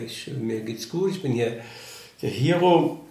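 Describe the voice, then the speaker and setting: A man's lively intonation amid audible room echo and noticeable background noise. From Germany, Eifel region. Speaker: former professional footballer. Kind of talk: casual interview. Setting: café.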